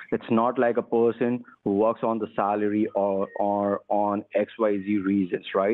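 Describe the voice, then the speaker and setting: Delivered at a fairly slow pace with hardly any pauses, the speech holds very even loudness and a monotone, flat intonation. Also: man, fairly low pitch for a man. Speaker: phone scammer posing as manager. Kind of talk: heated argument. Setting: phone call. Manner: irritated, scolding. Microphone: phone line.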